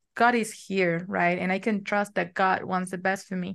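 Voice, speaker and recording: A woman at medium pitch and moderate pace, with monotone, flat intonation and a quiet background. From Argentina. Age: 20s. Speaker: matched bride, college student. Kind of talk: interview conversation.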